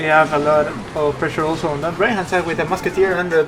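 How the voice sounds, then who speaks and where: Over music in the background, a speaker with a non-native accent talks at a fairly quick pace. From Peru. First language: Spanish. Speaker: esports caster. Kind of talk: live commentary.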